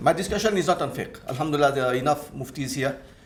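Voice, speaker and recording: Speech at a fairly quick pace comes through noticeable background noise and audible room echo. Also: man. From Mauritius. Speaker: Islamic finance scholar and lecturer. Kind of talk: conference presentation.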